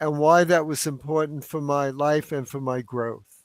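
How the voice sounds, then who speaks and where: A man talks with a fairly high pitch and fairly even intonation. The recording is very clean, with a silent background. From New York, South Bronx. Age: 80s+. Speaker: author. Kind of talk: casual chat.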